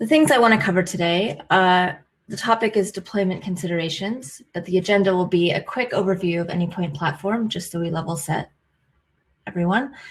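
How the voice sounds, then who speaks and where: With an American accent, the somewhat breathy voice shows ordinary pitch variation in a very clean recording with a silent background. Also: woman, medium pitch for a woman, fairly quick pace. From United States. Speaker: IT consultant. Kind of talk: technical presentation.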